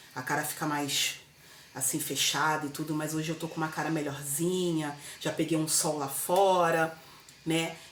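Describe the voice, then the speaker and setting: With a Brazilian accent, a woman speaks at a moderate pace in a very deep, low pitch and a monotone, flat intonation, amid noticeable background noise and audible room echo. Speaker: vlogger. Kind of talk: casual chat. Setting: home kitchen. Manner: loud.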